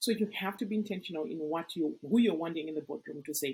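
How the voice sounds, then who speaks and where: A somewhat breathy woman with an African accent, fairly low in pitch, with lively intonation. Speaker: nonprofit executive recruitment consultant, company CEO. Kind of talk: podcast interview.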